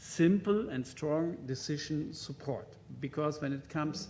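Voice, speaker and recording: With audible room echo, a man speaks fairly slowly in a German accent, his fairly high pitch paired with a dark, mellow tone. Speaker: conference speaker on hospital IT. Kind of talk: conference presentation. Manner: halting, many fillers.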